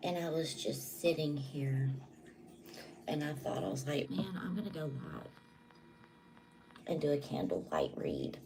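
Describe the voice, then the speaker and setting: A quiet woman with an American accent, very deep and low-pitched, lively in intonation, at a fairly slow pace with long, frequent pauses, amid audible room echo and noticeable background noise. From Southwest Louisiana. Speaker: tarot reader and psychic. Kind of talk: live tarot reading. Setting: livestream at home. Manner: quiet, low voice.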